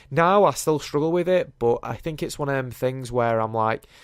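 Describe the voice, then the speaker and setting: Spoken at a fairly quick pace with an English accent, the voice shows ordinary pitch variation on a very clean recording with a silent background. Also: man. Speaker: YouTuber. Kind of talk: casual podcast monologue.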